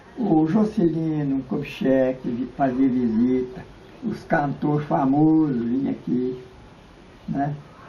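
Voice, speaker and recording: Over noticeable background noise, a man speaks at a very slow pace, his fairly high pitch showing ordinary variation. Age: 80s+. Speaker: local elderly resident, former cattle drover. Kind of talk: interview reminiscence. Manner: halting.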